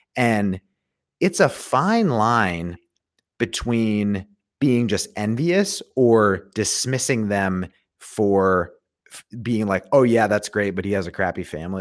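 A man with an unremarkable speaking voice talks at a fairly low pitch with ordinary pitch variation on a very clean recording with a silent background. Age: 30s. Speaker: podcaster and recruiter, homeschooling father. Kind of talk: casual chat.

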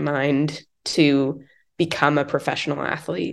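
Speaking at a very slow pace, a woman with an American accent has a very deep, low voice. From US, Idaho (Moscow). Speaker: professional cyclist. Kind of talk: interview. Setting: in person.

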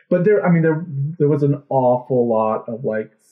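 A man with a plain, everyday voice at a fairly quick pace, medium pitch and ordinary pitch variation. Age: 30s. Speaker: podcast host. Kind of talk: casual chat.

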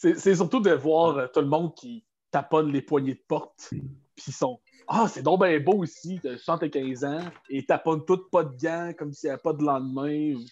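A man talks at a fairly slow pace in an ordinary speaking voice, pitched fairly high with ordinary pitch variation. His loudness swings widely. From Quebec City region. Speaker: medical supply employee. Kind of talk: casual chat. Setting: video call.

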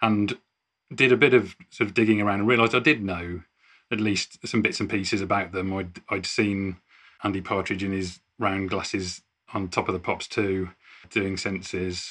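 This man has an ordinary speaking voice, fairly low in pitch, with fairly even intonation at a moderate pace. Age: 40s. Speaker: musician in a cover band. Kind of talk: casual chat.

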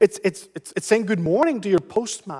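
In a dry, close sound with no echo, a man with a high pitch speaks with very wide pitch swings. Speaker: pastor. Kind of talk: sermon. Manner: repeats words often, halting restarts.

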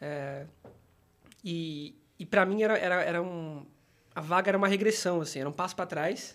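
Here a man speaks at a high pitch and a moderate pace, with ordinary pitch variation. He takes long, frequent pauses. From São Paulo. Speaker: UX team manager. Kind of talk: casual chat.

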